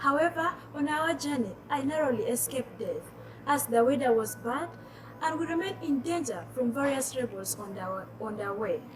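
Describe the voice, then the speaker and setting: A woman keeps a moderate pace while noticeable background noise plays behind her. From South Sudanese refugee raised in northern Uganda. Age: 20s. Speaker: youth activist. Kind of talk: personal testimony, prepared storytelling. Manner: measured, reading prepared text.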